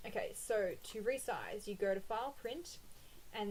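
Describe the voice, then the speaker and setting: Her pitch is fairly high and her pace moderate. The woman speaks with an Australian accent. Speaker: planner printables shop owner and blogger. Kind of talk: tutorial. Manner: casual, with frequent 'um' fillers.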